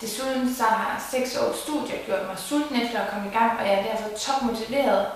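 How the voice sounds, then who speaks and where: With audible room echo and noticeable background noise, a woman talks at a moderate pace in a fairly high pitch with fairly even intonation. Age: 20s. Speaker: job applicant, marketing graduate. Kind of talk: job application video presentation. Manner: formal, prepared.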